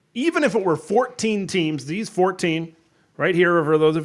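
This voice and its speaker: A man with an unremarkable speaking voice and an American accent, lively intonation and moderate pace, on a very clean recording with a silent background. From Wisconsin. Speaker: college football content creator. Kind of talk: casual chat.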